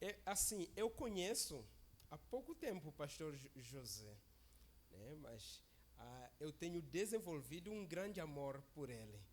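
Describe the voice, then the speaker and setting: Speaking very slowly, a man talks with a non-native accent. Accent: foreign accent in Portuguese. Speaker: visiting preacher. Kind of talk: sermon. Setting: church service.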